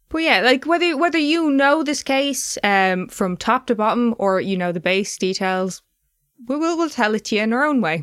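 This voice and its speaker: Her pitch is high, and it moves in very wide swings. She is a woman with an Irish accent. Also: moderate pace, very clean recording, silent background. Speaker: true crime podcast host. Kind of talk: casual chat with scripted case narration.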